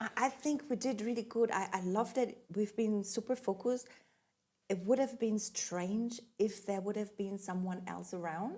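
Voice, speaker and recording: A woman with a slight non-native accent speaks at a moderate pace, her fairly high pitch carrying a dark, mellow tone and ordinary pitch variation. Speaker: podcast co-host and recording artist. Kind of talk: casual chat. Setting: studio.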